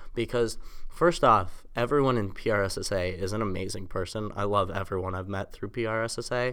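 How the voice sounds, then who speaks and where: A man speaks with an American accent. His pitch is fairly low and his pace fairly quick. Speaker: college student, former podcast host. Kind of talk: casual chat. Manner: monotone.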